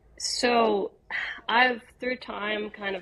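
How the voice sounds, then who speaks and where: Against noticeable background noise, an American-accented woman talks, her pitch varying in an ordinary way. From West Virginia, Bridgeport. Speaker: singer-songwriter. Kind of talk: casual interview.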